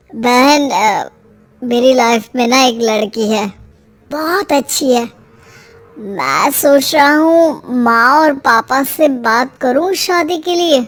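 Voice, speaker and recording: This is a cartoonish character voice at a very slow pace. Its pitch variation is ordinary. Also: woman, high pitch for a woman. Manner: earnest, hesitant.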